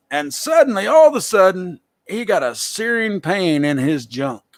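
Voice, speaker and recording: Lively intonation from a man with a Southern US accent, on a very clean recording with a silent background. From US South. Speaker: talk show host. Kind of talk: casual live show talk. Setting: live video stream.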